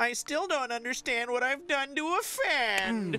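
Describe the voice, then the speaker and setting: A female-sounding, high-pitched put-on character voice, whiny at a moderate pace, sounds over light background noise. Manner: complaining.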